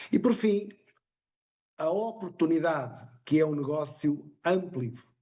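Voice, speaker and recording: A man's dark, mellow voice at a very slow pace with lively intonation. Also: fairly high pitch for a man. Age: 60s. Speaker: independent business partner presenter. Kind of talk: sales pitch.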